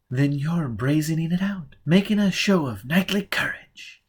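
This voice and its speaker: Putting on a character voice, a man sounds husky at a fairly high pitch, with lively intonation and a moderate pace, in a very clean recording over a silent background. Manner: amused.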